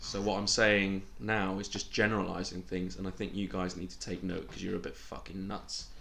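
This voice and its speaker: A man speaks at a moderate pace with hardly any pauses, his fairly low voice bright and sharp in tone, with vocal fry, ordinary pitch variation, and audible room echo. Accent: British. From Britain. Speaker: podcast co-host. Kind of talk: casual chat.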